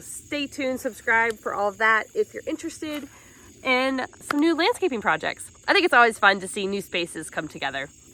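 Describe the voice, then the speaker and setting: Somewhat quickly and with lively intonation, a woman speaks. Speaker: gardening YouTuber. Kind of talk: casual vlog chat.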